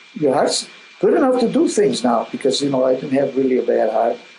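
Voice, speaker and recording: A man talking at a fairly quick pace, with noticeable background noise. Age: 70s. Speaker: Crohn's disease patient. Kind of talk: interview. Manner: halting.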